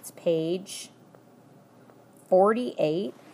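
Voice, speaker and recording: A woman's medium-pitched, unremarkable speaking voice at a fairly slow pace, with ordinary pitch variation. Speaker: math teacher. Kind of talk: tutorial.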